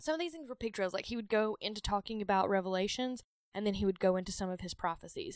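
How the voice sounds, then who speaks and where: Very fast speech in a strong Southern US accent carries lively intonation, with a dry, close sound and no echo. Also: woman, medium pitch for a woman. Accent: thick Southern US. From US South. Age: 30s. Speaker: podcast host. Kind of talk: casual chat.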